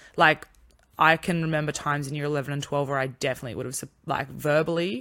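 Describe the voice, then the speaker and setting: At a very fast pace, a woman with an Australian accent speaks in a very deep, low voice with a bright, sharp tone and ordinary pitch variation, on a very clean recording with a silent background. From country town, Australia. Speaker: podcast co-host. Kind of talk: casual chat.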